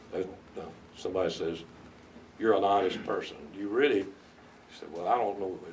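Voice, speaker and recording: Speaking at a fairly quick pace with long, frequent pauses, a man with an American accent has a fairly low pitch, and audible room echo surrounds him. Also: fairly even intonation. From US South, North Carolina. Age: 70s. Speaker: veteran lawyer. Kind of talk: interview advice to law students. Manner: halting, many repetitions.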